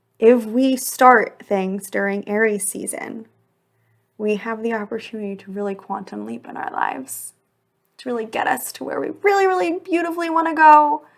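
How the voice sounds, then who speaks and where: A woman speaks in an animated tone at a fairly high pitch, with very wide pitch swings and big swings in loudness. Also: moderate pace. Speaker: podcast host and embodiment mentor. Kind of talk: solo podcast monologue.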